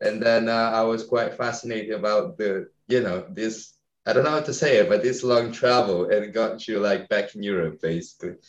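Speaking with an Italian accent, a man keeps a moderate pace with hardly any pauses, a medium pitch, and ordinary pitch variation. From northern Italy. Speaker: podcast host. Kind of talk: interview. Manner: halting.

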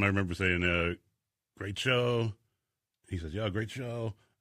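The tone is bright and sharp. The sound is dry and close with no echo, in a very clean recording with a silent background. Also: man. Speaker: radio DJ. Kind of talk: casual interview chat. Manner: articulate.

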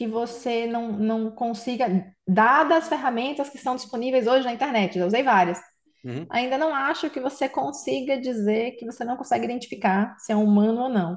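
With a plain, everyday voice, a woman talks at a moderate pace in a fairly high pitch with ordinary pitch variation. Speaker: tech company CEO. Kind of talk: casual interview.

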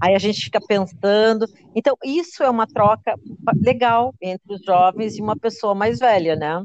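Recorded with a dry, close sound and no echo, a woman uses a normal speaking voice at a fairly high pitch, with ordinary pitch variation and a moderate pace. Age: 60s. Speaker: digital content creator. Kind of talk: interview.

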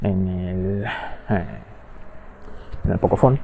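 A man talks very slowly while noticeable background noise sits behind him. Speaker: podcast host. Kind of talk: casual monologue. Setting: outdoors walking the dog. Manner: halting, many fillers.

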